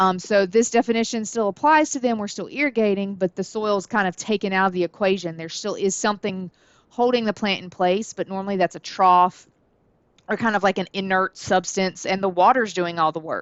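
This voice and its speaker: A woman talks in a Southern US accent at a fairly quick pace. Her pitch variation is ordinary. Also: medium pitch for a woman. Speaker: college horticulture instructor. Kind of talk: lecture. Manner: casual, many filler words.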